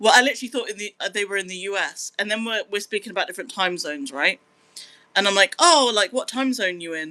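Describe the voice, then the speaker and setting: A woman with a British accent, a very fast pace, medium pitch, a bright, sharp, animated tone and lively intonation. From Britain. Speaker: live streamer. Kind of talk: casual live-stream chat. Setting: live stream reading chat.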